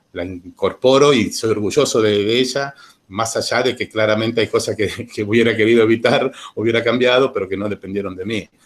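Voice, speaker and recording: Fairly even intonation marks this man's speech. He talks at a medium pitch and a fairly quick pace. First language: Italian (speaking Spanish). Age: 40s. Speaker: witness giving testimony. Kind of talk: personal testimony to students. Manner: hesitant, many repetitions.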